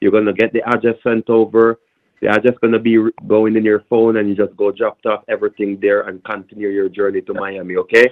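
At a fairly quick pace, a man with a fairly low pitch speaks in a Jamaican accent. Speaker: phone scammer. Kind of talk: heated phone argument. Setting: phone call. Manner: aggressive.

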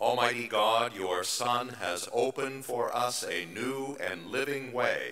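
Against audible room echo, a man speaks at a very slow pace. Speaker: pastor leading worship. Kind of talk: liturgical welcome and prayer. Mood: warm, calm, reverent. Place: church. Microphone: podium.

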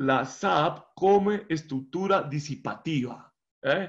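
Over a quiet background, a high-pitched man speaks at a very slow pace. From Colombia. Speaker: professor; guest lecturer presenting his research. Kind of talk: lecture. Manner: halting. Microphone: video call.

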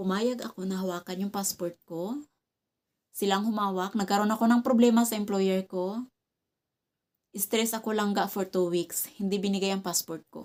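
A woman at medium pitch talks at a moderate pace with fairly even intonation. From Visayas, Philippines. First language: Cebuano (Bisaya) (speaking Tagalog). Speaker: vlogger. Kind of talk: casual vlog talk to camera. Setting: at home.

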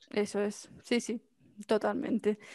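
Dry with no echo, the recording has a quiet background. A woman with a fairly high pitch talks at a moderate pace. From Spain, Mallorca; Spain. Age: 20s. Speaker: marketing agency founder; podcast guest. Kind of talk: interview. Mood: cheerful, laughing storytelling. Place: home room. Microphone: headset.

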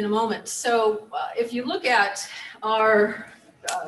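A woman against light background noise. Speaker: keynote speaker, psychology professor. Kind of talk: lecture. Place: hall.

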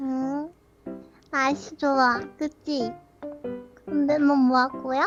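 In a put-on character voice, a female-sounding speaker talks with a high pitch at a fairly slow pace with long, frequent pauses, with faint music in the background. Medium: dub. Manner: cute.

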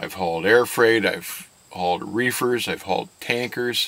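The speech moves at a fairly slow pace, with ordinary pitch variation. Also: man. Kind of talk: interview answer. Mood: calm, candid. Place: car.

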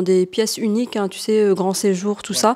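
A woman talks at a moderate pace with fairly even intonation. Her tone is dark and mellow, over a quiet background. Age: 30s. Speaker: short-term rental subletting entrepreneur, mother of two; short-term rental host. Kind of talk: casual interview and apartment tour. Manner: hesitant, many fillers. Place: home room. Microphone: handheld.

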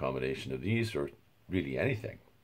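A man talks at a very fast pace with very wide pitch swings. His voice has vocal fry. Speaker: university lecturer. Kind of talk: lecture. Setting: home recording. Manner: halting, with filler words.

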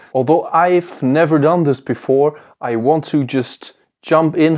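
Quiet background behind a male voice. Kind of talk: tutorial intro to camera. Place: workshop.

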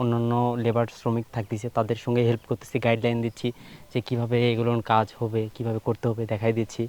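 The sound is dry and close with no echo, and the intonation is monotone and flat. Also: man, medium pitch for a man. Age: 20s. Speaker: student farmer. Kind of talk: interview.

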